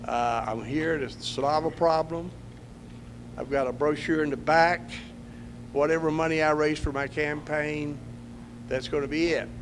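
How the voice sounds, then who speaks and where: Speaking in a Texan accent, a man with a fairly high pitch keeps a monotone, flat intonation and leaves long, frequent pauses, with audible room echo around him. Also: moderate pace. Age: 70s. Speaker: political candidate. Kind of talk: campaign speech at candidate forum.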